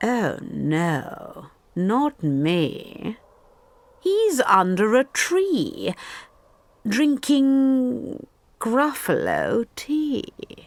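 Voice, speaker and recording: A female-sounding, put-on character voice speaks at a high pitch. The pace is very slow, with long, frequent pauses. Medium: read story.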